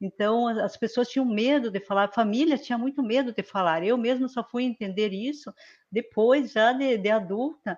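A woman's fairly high voice at a moderate pace, with ordinary pitch variation and an ordinary speaking voice. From Paraná, Brazil (southwest). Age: 50s. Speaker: state politician. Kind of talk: online panel discussion. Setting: video call live stream.

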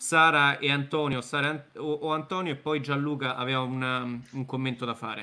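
This man talks with hardly any pauses. His fairly high voice stays monotone and flat. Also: moderate pace. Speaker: live stream host, neurosurgeon. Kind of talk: live panel discussion. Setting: video call.

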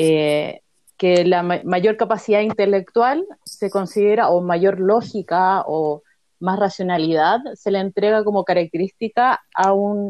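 A woman speaks with a Chilean accent at a medium pitch. Her pace is fairly slow and her intonation fairly even. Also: very even loudness. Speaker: social anthropologist. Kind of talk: casual chat.

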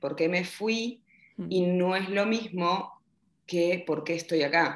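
A woman with a Rioplatense accent, fairly low in pitch, very slow in pace, with ordinary pitch variation. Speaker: psychologist working with migrants. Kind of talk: casual chat.

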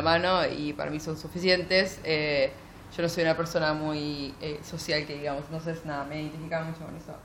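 A woman talks in a very deep, low voice with monotone, flat intonation. She hardly pauses, and the room echo is audible. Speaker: book podcast co-host. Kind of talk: casual chat.

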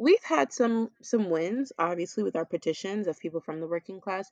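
A woman of medium pitch speaks with lively intonation at a moderate pace, in an ordinary speaking voice. The sound is dry and close with no echo, over a quiet background. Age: 20s. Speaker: teacher. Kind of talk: casual chat.

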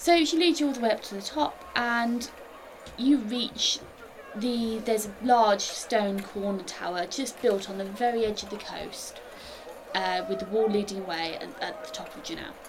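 A woman's fairly high voice at a moderate pace, with ordinary pitch variation, big swings in loudness and crowd noise in the background. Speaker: dungeon master. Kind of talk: tabletop roleplaying game narration, describing scenery. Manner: descriptive, measured, guide-like scene-setting.

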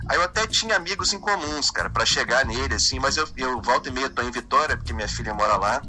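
The speech runs at a very fast pace with hardly any pauses. Noticeable background noise sits behind it. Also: man. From Espírito Santo, Brazil. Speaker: singer-songwriter. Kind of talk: radio interview. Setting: phone call.

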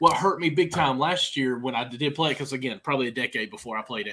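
A man with a normal speaking voice, fairly high-pitched, speaks with lively intonation. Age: 30s. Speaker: sports podcast host. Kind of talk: casual chat.

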